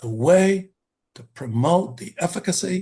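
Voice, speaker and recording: Somewhat breathy male voice at a fairly slow pace, with very wide pitch swings. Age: 70s. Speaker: expressive arts therapist and educator. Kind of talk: conference talk. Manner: halting, many fillers and restarts.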